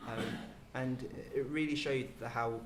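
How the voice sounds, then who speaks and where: A man's medium-pitched voice at a fairly quick pace, fairly even in intonation, with noticeable background noise and audible room echo. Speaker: medical doctor and former programme participant. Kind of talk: panel discussion. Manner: halting, many fillers; quiet and softly spoken.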